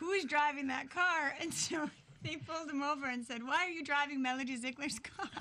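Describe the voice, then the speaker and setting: A woman talks in a raised, projected voice at a fairly quick pace. Her pitch sits high. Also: ordinary pitch variation. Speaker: mayor's daughter, guest. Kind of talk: radio interview, casual chat. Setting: radio studio.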